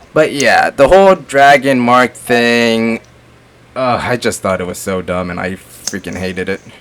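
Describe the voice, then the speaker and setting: A man at a medium pitch with lively intonation and a fairly slow pace, over noticeable background noise. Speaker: gaming and movie reviewer. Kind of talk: casual chat. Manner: animated.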